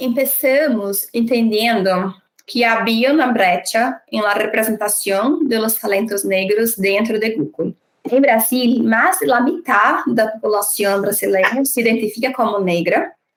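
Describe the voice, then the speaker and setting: A woman's fairly high voice with a Brazilian accent, at a fairly slow pace, with very even loudness and ordinary pitch variation. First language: Portuguese (speaking Spanish). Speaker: diversity and inclusion leader. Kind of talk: panel interview.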